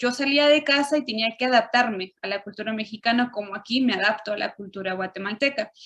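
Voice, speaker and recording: A woman's fairly high voice moves fairly quickly, its pitch varying in an ordinary way. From Chile and Mexico (left Chile at 6, raised in Mexico). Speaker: interviewee. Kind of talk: interview.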